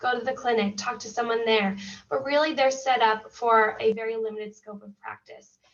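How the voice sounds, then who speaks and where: A woman speaks in a normal speaking voice with an American accent. Her pitch is fairly high, her intonation fairly even, and her pace moderate. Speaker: school mental health counselor. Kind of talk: presentation.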